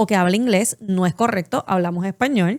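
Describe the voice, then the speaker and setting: In a very clean recording with a silent background and a dry, close sound with no echo, a woman talks with a Puerto Rican accent and ordinary pitch variation. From Puerto Rico. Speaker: podcast co-host. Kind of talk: casual chat.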